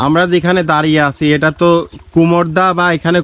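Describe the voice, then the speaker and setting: Using an ordinary speaking voice, a man talks at a fairly high pitch. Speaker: travel vlogger. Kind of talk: vlog narration to camera. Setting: outdoors by a pond.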